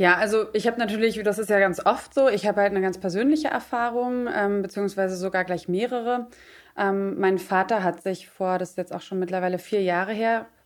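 In an ordinary speaking voice, a woman talks at a fairly quick pace with medium pitch and fairly even intonation, in a very clean recording with a silent background. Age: 30s. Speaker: freelance journalist and podcaster. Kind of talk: casual chat.

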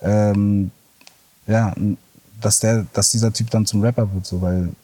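This man talks with a fairly low pitch and fairly even intonation. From Berlin. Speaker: former rapper. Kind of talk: interview.

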